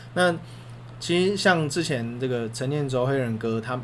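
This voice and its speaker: A man's medium-pitched voice rings with audible room echo. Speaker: sports podcast co-host. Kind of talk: casual chat.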